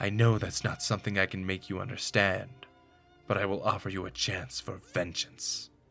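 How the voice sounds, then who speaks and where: A man does a put-on character voice at a fairly low pitch and moderate pace. His intonation is fairly even, with faint music in the background. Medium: read story. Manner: wary, clipped.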